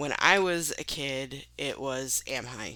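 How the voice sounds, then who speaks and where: Here a woman speaks with a Maine accent at a very deep, low pitch. Her intonation is lively. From Maine, US. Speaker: author talking about her books. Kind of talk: casual monologue. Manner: hesitant, many fillers.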